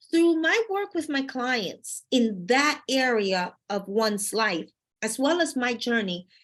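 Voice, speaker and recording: A woman's high voice with very wide pitch swings against a quiet background. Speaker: life coach. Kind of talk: motivational talk. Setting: live stream. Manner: lively and energetic.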